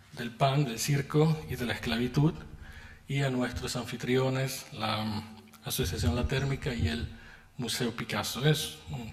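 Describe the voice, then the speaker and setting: Background noise is noticeable and the room echoes audibly. A man with a medium pitch speaks at a fairly slow pace, with lively intonation and long, frequent pauses. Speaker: philosopher, keynote lecturer. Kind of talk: lecture. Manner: formal.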